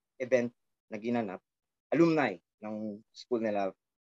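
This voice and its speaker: The man's speech unfolds fairly slowly. The recording sounds dry and close, with no echo at all. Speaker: rock band frontman. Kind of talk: casual interview chat.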